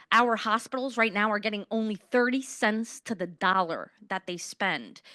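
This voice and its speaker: The voice is loud, with a New York accent. Its tone is bright and sharp. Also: woman, dry, close sound with no echo, quiet background. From Queens, New York City. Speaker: politician, mayoral candidate. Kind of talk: candidate forum answers.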